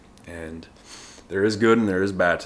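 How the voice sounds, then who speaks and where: Moving at a fairly quick pace, a man speaks with a bright, sharp tone. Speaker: podcast host, personal trainer. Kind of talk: casual solo monologue. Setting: at home at coffee table, windy day. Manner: unscripted, rambling with fillers.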